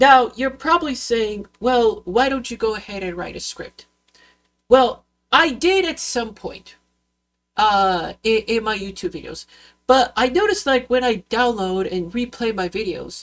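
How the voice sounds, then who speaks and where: A woman speaks at a fairly slow pace. Her pitch is high, and her loudness swings a lot. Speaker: YouTuber. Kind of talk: vlog rant. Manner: halting, many fillers and restarts; unscripted, goes off on tangents.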